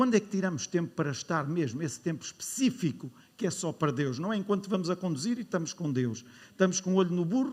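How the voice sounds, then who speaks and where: A man with a European Portuguese accent talks at a very fast pace and high pitch. His tone is animated, with very wide pitch swings. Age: 60s. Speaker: pastor. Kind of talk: sermon. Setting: church.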